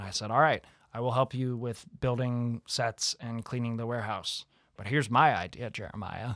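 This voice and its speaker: With an American accent and a normal speaking voice, the speaker keeps a moderate pace and fairly even intonation, while the loudness swings widely. The recording is very clean, dry and close, with no echo and a silent background. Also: man, medium pitch for a man. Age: 20s. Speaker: college theatre student. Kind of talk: casual chat. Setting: studio.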